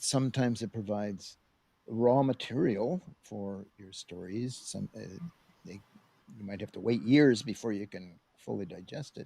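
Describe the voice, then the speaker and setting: Very clean recording with a silent background, featuring a dark, mellow tone in an American accent. The pace is moderate, pitch variation is ordinary, and there are big swings in loudness. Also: man, fairly low pitch for a man. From US Midwest (Ohio). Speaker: science fiction author. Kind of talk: interview chat.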